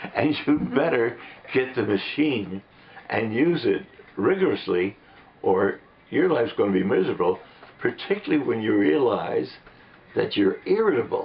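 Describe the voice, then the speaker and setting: Amid noticeable background noise, a man talks with very even loudness and long, frequent pauses. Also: moderate pace. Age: 80s+. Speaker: patient. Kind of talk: testimony. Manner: halting.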